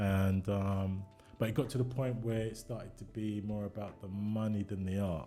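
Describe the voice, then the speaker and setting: A man with a London accent, fairly low in pitch, at a moderate pace with fairly even intonation. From East London, England. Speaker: songwriter and music producer. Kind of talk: casual chat.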